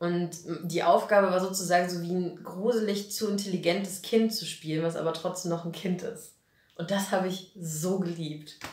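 In a room with audible echo, a woman speaks at a moderate pace in an animated tone. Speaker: actress and puppeteer; actress. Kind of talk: casual interview. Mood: cheerful, animated. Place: studio.

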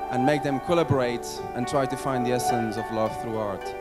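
Loud music sits behind a man who talks at a fairly quick pace. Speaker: event founder and host. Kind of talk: launch event welcome speech to an audience. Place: hall. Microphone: handheld.

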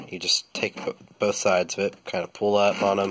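Noticeable background noise runs under this recording. A man with a fairly low voice speaks at a fairly quick pace. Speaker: truck owner, DIY mechanic. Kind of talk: casual how-to tutorial. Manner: hesitant, many fillers.

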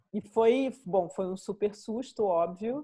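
The speaker is a woman. Her background is quiet. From Brazil, Rio de Janeiro. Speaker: art curator and critic; guest. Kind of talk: interview. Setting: video call. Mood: relaxed, reflective, smiling. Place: home room. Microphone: video call.

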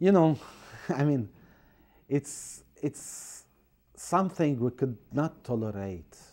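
With an Arabic accent, a man with a fairly high pitch and a dark, mellow tone speaks very slowly in lively intonation, leaving long, frequent pauses over a quiet background. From Syria, Aleppo; Syria. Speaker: priest and refugee aid director. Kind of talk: interview. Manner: halting. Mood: earnest, calm, sometimes smiling. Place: studio. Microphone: lapel.

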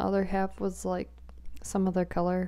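This is a woman's voice. She is soft-spoken. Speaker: asmr creator. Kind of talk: asmr soft-spoken mukbang chatting. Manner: soft-spoken, quiet. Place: home room. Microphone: handheld.

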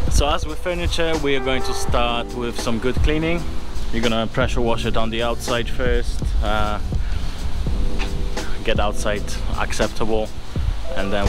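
Clear music plays in the background while the voice moves at a moderate pace. The sound is dry with no echo, with long, frequent pauses. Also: man. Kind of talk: casual vlog chat. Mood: excited, upbeat. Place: street. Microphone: phone near.

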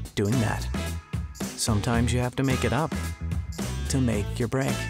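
Clear music plays in the background as a man speaks at a moderate pace in a dry sound with no echo. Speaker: voice actor. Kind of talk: promo commercial read. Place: booth.

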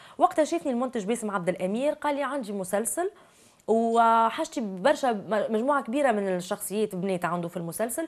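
A woman with a Tunisian accent at a fairly high pitch, lively intonation and a fairly quick pace, in a quiet background. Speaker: actress and TV presenter; actress, TV presenter. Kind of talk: interview. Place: studio. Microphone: lapel.

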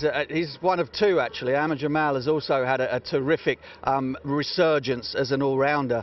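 The speaker keeps a moderate pace and fairly even intonation. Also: man, medium pitch for a man.

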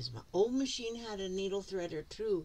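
A woman with an American accent speaks at a moderate pace in a somewhat breathy voice. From US. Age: 70s. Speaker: craft vlogger. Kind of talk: casual tutorial. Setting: home craft room. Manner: chatty, rambling. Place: home room. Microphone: phone near.

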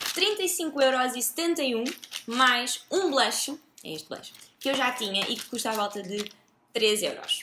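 A woman's raised, projected voice amid noticeable background noise. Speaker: beauty vlogger. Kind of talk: casual vlog chat. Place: home room.

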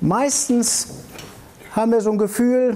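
Over faint background noise, a man talks at a fairly slow pace in a dark, mellow tone.

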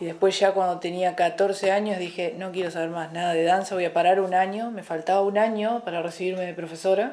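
A woman speaks in an ordinary speaking voice at medium pitch, fairly quick and with hardly any pauses, her intonation fairly even. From Argentina, Entre Ríos (Colón). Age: 40s. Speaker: fitness coach and athlete. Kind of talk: casual interview chat. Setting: TV studio. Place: cafe.

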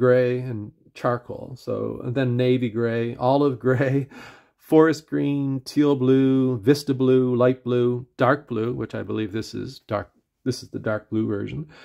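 A man with an Atlantic Canadian accent speaks at medium pitch and a fairly slow pace, his intonation fairly even. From Atlantic Canada. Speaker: pen reviewer / YouTuber. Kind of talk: casual product review video. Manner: halting, filler-heavy; conversational, casual.

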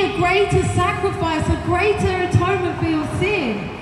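Over noticeable background noise and audible room echo, a woman speaks at a moderate pace in an extremely high pitch with fairly even intonation. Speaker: preacher. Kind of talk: sermon. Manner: earnest, persuasive; rhythmic, insistent, didactic. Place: street. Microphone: camera far.

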